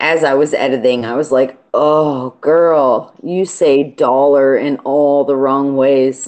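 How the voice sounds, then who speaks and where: Speaking at a very slow pace, a woman with a very deep, low voice has a strong Baltimore accent. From Baltimore, Maryland. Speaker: aquarium YouTuber. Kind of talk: casual live stream chat.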